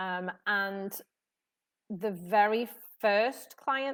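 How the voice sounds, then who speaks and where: Someone with a British accent speaks with ordinary pitch variation on a very clean recording with a silent background. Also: woman. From UK. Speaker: tennis elbow therapist. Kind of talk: live stream talk to audience. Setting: live video stream, sunshine behind. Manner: casual, many fillers.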